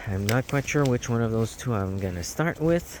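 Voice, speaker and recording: Speaking with a non-native accent, a man uses lively intonation. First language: not English. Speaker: podcast host. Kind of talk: casual monologue. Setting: outdoors. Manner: halting.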